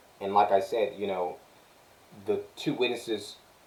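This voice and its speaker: At a moderate pace and with fairly even intonation, a man speaks over noticeable background noise. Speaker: religious vlogger. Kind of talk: religious monologue. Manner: halting.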